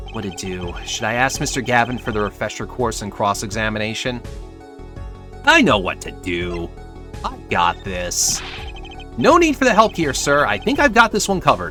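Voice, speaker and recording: Over clear music in the background, a man at a moderate pace uses a put-on character voice that sounds raspy and strained. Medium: game stream. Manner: nervous, self-encouraging.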